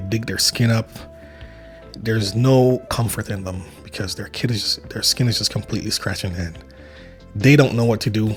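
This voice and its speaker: Music plays in the background as a man speaks with long, frequent pauses. His pitch is medium, with ordinary variation. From Saint Vincent. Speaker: travel vlogger. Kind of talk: casual talk to camera.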